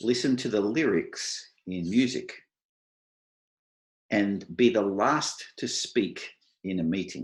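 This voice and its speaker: With an Australian accent, a man speaks at a very slow pace and a medium pitch, using lively intonation. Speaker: IT software architect, panelist. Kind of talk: online panel presentation. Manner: clear.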